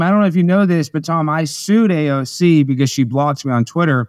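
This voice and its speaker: A man with an American accent speaks at a fairly high pitch and a fairly quick pace. His tone is animated, and the background is quiet. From Texas. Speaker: comedian and political show host; comedian, political show host. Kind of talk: casual interview chat. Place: home room.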